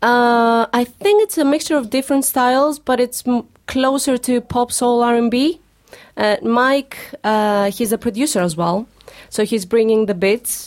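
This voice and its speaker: A high-pitched woman's voice with a Greek accent, fairly slow, with ordinary pitch variation and very even loudness. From Greece. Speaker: singer. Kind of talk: casual chat. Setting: studio.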